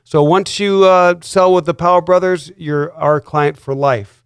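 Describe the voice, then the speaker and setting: A man speaks at a fairly slow pace with a high pitch and ordinary pitch variation. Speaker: real estate broker. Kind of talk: radio show host talk.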